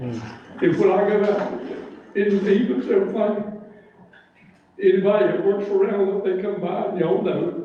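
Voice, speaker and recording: A man's high-pitched voice at a moderate pace, with audible room echo and noticeable background noise. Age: 70s. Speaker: resident speaking at town meeting. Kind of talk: public comment. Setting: town board meeting.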